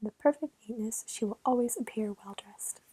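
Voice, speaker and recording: Whispering at a fairly quick pace, a woman is heard. The sound is dry and close with no echo. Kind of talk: ASMR story reading. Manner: whispered.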